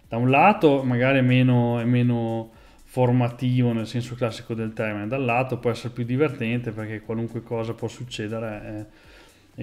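Faint music plays in the background as a man speaks in a monotone, flat intonation. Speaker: programming streamer. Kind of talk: casual live stream chat. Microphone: earbuds.

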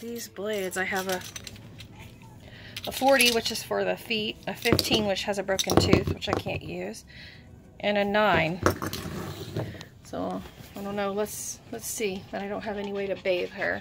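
Long, frequent pauses break up a woman's fairly slow speech. Noticeable background noise runs underneath. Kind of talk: casual vlog chat. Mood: cheerful, slightly apologetic. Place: home room. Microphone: phone near.

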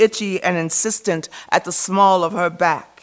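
Against a quiet background, a woman speaks at a fairly slow pace in an animated, theatrical tone that sounds bright and sharp. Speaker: poet. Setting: stage with audience. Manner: animated, expressive, theatrical. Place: hall. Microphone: podium.

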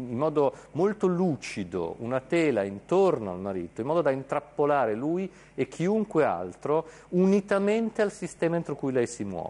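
A man's dark, mellow tone moves through very wide pitch swings. He keeps a moderate pace. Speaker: university philosophy professor. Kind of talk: commentary. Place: studio.

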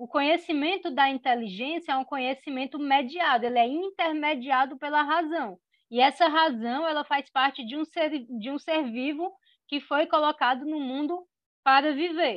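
A woman's high pitch with ordinary pitch variation at a moderate pace, in a dry sound with no echo and a quiet background. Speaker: philosophy teacher. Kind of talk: lecture. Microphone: video call.

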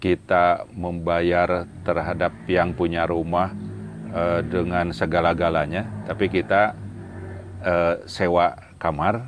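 With a very deep, low pitch, a man speaks at a very slow pace in dry sound with no echo over light background noise. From Sumedang, West Java; West Java, Indonesia. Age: 60s. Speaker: retired civil servant, religious council leader; religious council leader. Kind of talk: interview. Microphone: lapel.

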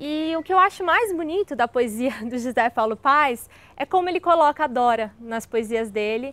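A woman's high-pitched voice with a Brazilian accent, a warm, enthusiastic tone and lively intonation at a moderate pace, in dry sound with no echo. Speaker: video creator reading poems. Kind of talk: poem reading, then casual chat about the poet. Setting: video channel, solo recording. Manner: casual, warm, enthusiastic. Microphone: lapel.

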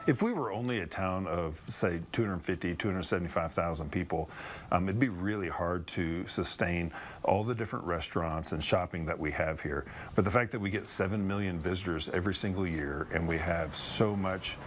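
A man speaks with a very deep, low pitch and ordinary pitch variation. His pace is moderate, with light background noise. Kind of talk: interview answer. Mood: upbeat, proud of city. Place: office. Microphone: lapel.

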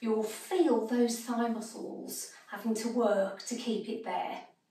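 Very slowly, a woman speaks at a high pitch, with audible echo from the room. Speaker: exercise instructor. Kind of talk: tutorial.

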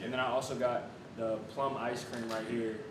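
A man speaks with fairly even intonation at a moderate pace, with audible room echo and noticeable background noise. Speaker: food reviewer. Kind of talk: casual food review chat. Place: home room. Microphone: camera far.

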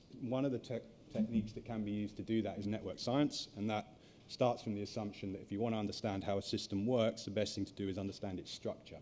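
Light background noise behind a man's fairly low-pitched voice, dark and mellow in tone, with monotone, flat intonation. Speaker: conference speaker. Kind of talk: lecture. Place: hall.

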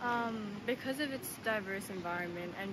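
Through loud background noise, a woman speaks with ordinary pitch variation in a dry sound with no echo. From Tokyo, Japan. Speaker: university student. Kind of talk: interview; interview answer. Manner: hesitant, many fillers. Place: street. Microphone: phone near.

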